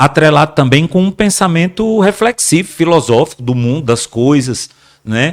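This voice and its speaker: Speaking at a moderate pace, a man uses lively intonation and a fairly high pitch in a dry, close sound with no echo. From Brazil, Rio Grande do Norte (Mossoró). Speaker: actor. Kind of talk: podcast interview. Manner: halting, repeats words.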